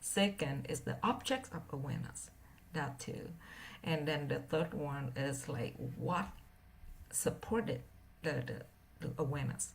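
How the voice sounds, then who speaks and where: A woman's very deep, low voice with a non-native accent and vocal fry, at a fairly slow pace with long, frequent pauses, ordinary pitch variation and audible room echo. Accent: heavy non-native. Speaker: meditation teacher. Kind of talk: dharma talk. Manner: halting, many fillers.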